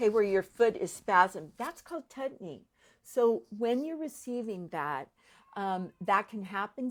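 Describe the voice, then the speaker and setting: With lively intonation, a woman talks in an ordinary speaking voice, recorded very cleanly over a silent background. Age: 60s. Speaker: functional medicine practitioner. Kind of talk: explainer interview.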